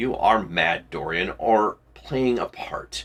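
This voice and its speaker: A man's put-on character voice at medium pitch, delivered at a very slow pace. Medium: read story. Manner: shaken.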